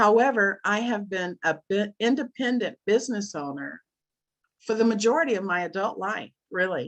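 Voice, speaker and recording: A woman's plain, everyday voice at medium pitch, moderate pace and lively intonation, with a dry, close sound with no echo. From USA. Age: 60s. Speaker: business presenter. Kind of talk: sales pitch.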